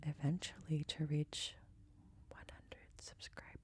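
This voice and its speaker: This soft-spoken voice has a dark, mellow tone, sounds somewhat breathy and keeps a moderate pace. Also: woman. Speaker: ASMR creator. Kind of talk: casual chat.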